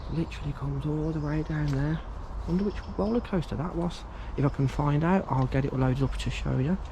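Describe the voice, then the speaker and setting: Over noticeable background noise, a man with an English accent talks at a fairly quick pace. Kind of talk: walkaround vlog narration. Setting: outdoors. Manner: hushed at times to avoid security.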